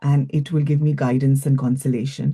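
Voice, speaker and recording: A dark, mellow, somewhat breathy tone at a moderate pace. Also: woman. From India (Goa). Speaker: psychologist and speaking coach. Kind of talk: interview.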